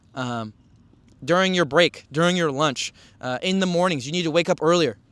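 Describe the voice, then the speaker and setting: A man's high voice comes through on a very clean recording against a completely silent background. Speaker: podcast host. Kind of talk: motivational monologue. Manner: intense, urgent.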